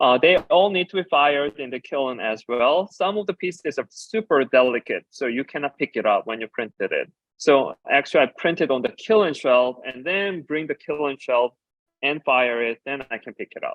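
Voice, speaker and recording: A man with a Korean accent, fairly high in pitch, with lively intonation and a moderate pace. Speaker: designer and educator. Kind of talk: conference talk.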